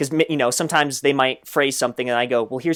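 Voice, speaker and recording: A man with an animated tone and medium pitch speaks at a very fast pace. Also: very clean recording, silent background. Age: 20s. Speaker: translator and YouTuber. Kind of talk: casual interview.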